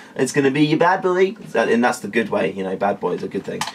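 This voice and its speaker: Over noticeable background noise, a man with a British accent talks very fast with lively intonation. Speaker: tech reviewer. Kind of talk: product review. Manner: casual, filler-heavy.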